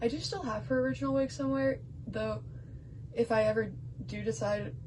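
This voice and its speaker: A woman, mumbling. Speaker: doll collector. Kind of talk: show-and-tell vlog. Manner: halting.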